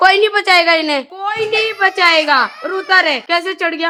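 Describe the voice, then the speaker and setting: A woman shouts in a raised, projected voice. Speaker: family vlogger. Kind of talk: casual vlog talk with children. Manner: loud, sounds like shouting.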